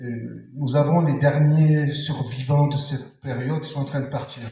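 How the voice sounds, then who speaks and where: Somewhat breathy and dark, mellow in tone, a man speaks slowly-ish at a fairly high pitch. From France. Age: 60s. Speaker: audience member in open debate. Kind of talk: public debate.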